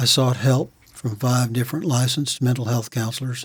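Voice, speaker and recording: A somewhat breathy man with an American accent, medium pitch and moderate pace. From Virginia, US South. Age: 60s. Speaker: war veteran. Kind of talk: testimony.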